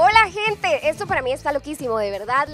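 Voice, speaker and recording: A woman speaks at a fairly quick pace in an upbeat, enthusiastic tone, her pitch swinging very widely. The sound is dry with no echo, and faint music plays in the background. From Costa Rica. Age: 20s. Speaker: radio presenter, drama student. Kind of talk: casual talk to camera, radio station introduction. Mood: excited, happy. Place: studio. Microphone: handheld.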